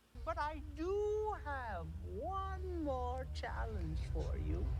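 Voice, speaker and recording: Loud background noise fills the clip. Over it, a man uses a put-on character voice at a very slow pace. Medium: short film. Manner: theatrical, taunting.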